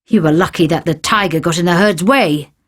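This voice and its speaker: Here is a put-on character voice at a middle pitch, growling. It moves at a fairly quick pace. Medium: read story. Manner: arrogant.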